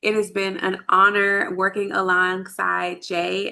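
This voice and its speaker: With a Texan accent, a woman speaks in a medium pitch with a bright, sharp tone. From Texas, Dallas area. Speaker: lactation consultant. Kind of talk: online workshop presentation.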